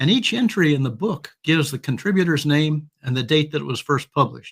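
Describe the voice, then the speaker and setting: With lively intonation and a somewhat breathy sound, a man talks at a moderate pace and a fairly high pitch. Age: 80s+. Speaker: humor email writer and author. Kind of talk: interview; storytelling. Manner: halting.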